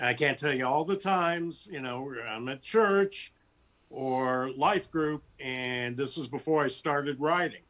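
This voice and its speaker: Speaking in an unremarkable speaking voice, a man talks at a fairly slow pace with a fairly high pitch and ordinary pitch variation. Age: 60s. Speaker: sci-fi author. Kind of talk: interview.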